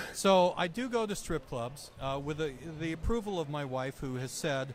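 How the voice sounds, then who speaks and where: A man with an ordinary speaking voice, fairly high in pitch, with lively intonation at a moderate pace. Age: 60s. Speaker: journalist and comic writer. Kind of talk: casual interview. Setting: comic convention.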